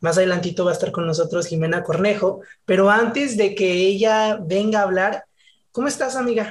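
In a very clean recording with a silent background, a man speaks at a fairly quick pace. His pitch is high, with ordinary pitch variation. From Monterrey, northern Mexico. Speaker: podcast host. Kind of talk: interview chat.

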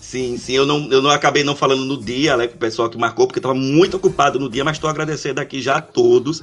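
A man rattles along at a very fast pace with hardly any pauses, his pitch fairly high and his intonation fairly even. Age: 40s. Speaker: podcast co-host. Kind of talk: casual chat.

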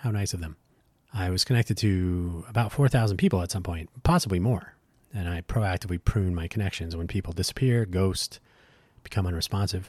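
The recording is very clean with a silent background and a dry, close sound with no echo. The voice is somewhat breathy, with ordinary pitch variation. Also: man, very deep, low pitch for a man. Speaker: podcast host. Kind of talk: solo podcast monologue. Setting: solo recording. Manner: hesitant, many fillers.

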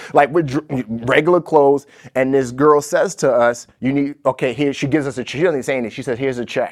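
The speaker has an American accent and a plain, everyday voice. Delivery is fairly quick, with fairly even intonation. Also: man, fairly high pitch for a man. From born in Nigeria, raised partly in the US. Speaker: entrepreneur and author. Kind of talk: interview.

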